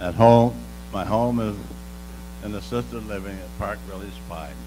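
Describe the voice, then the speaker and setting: Talking at a fairly quick pace, a man swings widely in loudness over background music, with audible room echo. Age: 90s. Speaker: World War II veteran. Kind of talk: oral history interview. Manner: halting.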